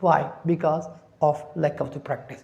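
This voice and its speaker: A woman's dark, mellow, somewhat breathy voice with a non-native accent. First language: not English. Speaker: English teacher. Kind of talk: tutorial. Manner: halting.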